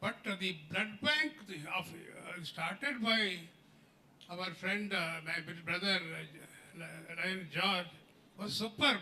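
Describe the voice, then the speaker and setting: A man's high, raised, projected voice at a very slow pace, with ordinary pitch variation. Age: 90s. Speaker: former health minister and doctor. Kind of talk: speech at a celebration. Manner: halting.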